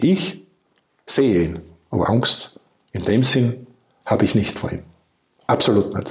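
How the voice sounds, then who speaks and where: Somewhat breathy and medium in pitch, a man talks at a fairly slow pace with very wide pitch swings and long, frequent pauses. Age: 60s. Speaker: retired entrepreneur and cancer patient. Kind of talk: interview testimony.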